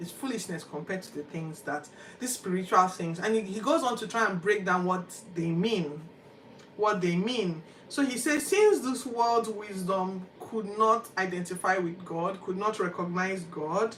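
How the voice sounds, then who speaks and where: A woman with a Nigerian accent, medium-pitched and animated, with ordinary pitch variation, big swings in loudness, a moderate pace and noticeable background noise. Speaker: Bible podcast host. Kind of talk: Bible reading commentary.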